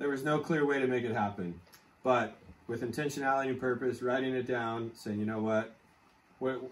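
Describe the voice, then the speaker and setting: With fairly even intonation, the man speaks at a fairly quick pace. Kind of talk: casual storytelling interview. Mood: relaxed, warm. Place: home room. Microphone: camera far.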